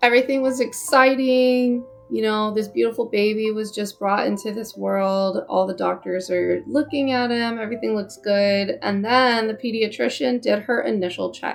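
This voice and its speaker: A woman with an American accent and fairly high pitch, ordinary pitch variation, hardly any pauses, and music in the background. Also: moderate pace. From California. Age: 30s. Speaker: parent vlogger, army veteran. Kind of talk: personal storytelling vlog. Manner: casual, uses fillers.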